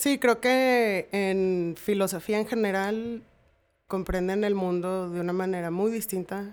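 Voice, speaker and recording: In a very clean recording with a silent background, a woman speaks at a very slow pace, her medium pitch carried with fairly even intonation. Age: 30s. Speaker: host's sister. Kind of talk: casual chat.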